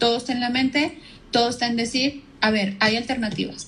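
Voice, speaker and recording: Fairly quick and fairly even in intonation, the speech comes with a Mexican accent. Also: woman. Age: 30s. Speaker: marketing professional, cancer survivor. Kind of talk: casual interview chat. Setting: Instagram live video call.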